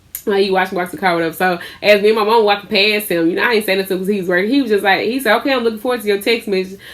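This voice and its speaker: Loud and animated, a woman talks at a very fast pace. Her pitch is fairly high. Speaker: lifestyle vlogger and small business owner. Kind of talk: casual storytelling vlog.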